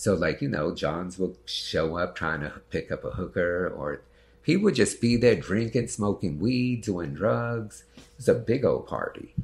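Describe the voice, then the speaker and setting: A man with a fairly low pitch speaks in a somewhat breathy voice with lively intonation. His loudness swings widely. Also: fairly slow pace. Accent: American. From New York City, the Bronx. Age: 50s. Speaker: actor and sex worker. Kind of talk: interview.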